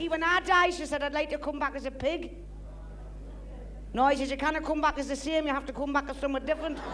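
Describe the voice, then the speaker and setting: A woman with a Geordie accent speaks at a very fast pace and a high pitch in a monotone, flat delivery, with long, frequent pauses and noticeable background noise. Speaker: comedian. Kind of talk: stand-up.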